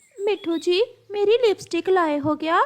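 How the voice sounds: This woman uses a cartoonish character voice at an extremely high pitch. She keeps a moderate pace.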